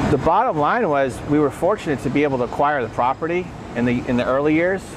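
Loud background noise surrounds a man as he talks. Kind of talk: interview answer. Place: factory. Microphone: lapel.

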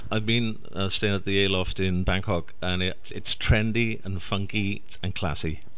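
A man speaks with a Welsh accent at a fairly low pitch. His intonation is monotone and flat. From Wales. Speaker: radio host. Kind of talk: interview.

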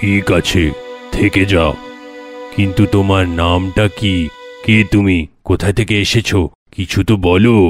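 Faint music plays in the background as a man uses a cartoonish character voice. His pitch is fairly low and his pace fairly slow. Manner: calm, kindly.

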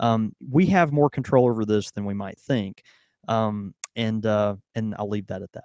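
A man talks at a fairly slow pace in a fairly low pitch, with ordinary pitch variation and big swings in loudness. The sound is dry with no echo, and the background is quiet. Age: 30s. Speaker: podcast co-host. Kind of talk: casual chat. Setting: studio with live audience. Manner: halting, many fillers. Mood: earnest, a bit stumbling. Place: shop. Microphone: studio mic.

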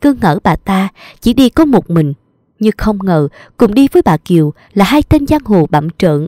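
Against a quiet background, the speaker reads aloud in a natural voice.

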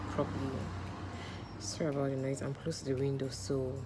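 A woman's very deep, low voice amid noticeable background noise. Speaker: vlogger. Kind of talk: casual vlog chat. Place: home room. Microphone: phone near.

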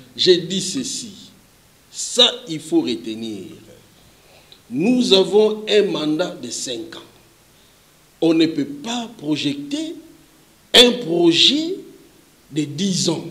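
A man's high-pitched voice at a very slow pace, with big swings in loudness, very wide pitch swings and long, frequent pauses. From Kinshasa, DR Congo. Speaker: politician. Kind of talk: interview. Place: studio. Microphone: handheld.

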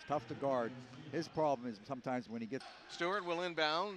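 Energetic and raised in a projected voice, the speaker comes through in a dry sound with no echo over light background noise. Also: man. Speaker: basketball radio commentator. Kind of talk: live play-by-play sports commentary. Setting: game broadcast, highlights reel. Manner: rapid-fire, fluent, energetic play-by-play delivery. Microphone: headset.

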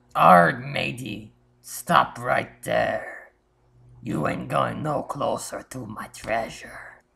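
A put-on character voice sounds raspy. It moves at a very slow pace. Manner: growling, suspicious, belligerent.

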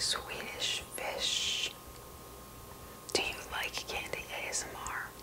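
A woman's whisper at a very slow pace, broken by long, frequent pauses. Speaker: candy reviewer. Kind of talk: ASMR candy unboxing. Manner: whispered. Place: home room.

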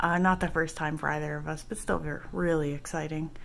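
Light background noise sits behind speech at a moderate pace. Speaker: vlogger. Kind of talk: casual vlog chat. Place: home room. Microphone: phone near.

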